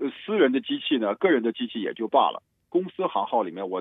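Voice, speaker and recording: This man talks at a fairly quick pace. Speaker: computer technician. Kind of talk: casual tech explainer chat. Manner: animated, many repeated fillers.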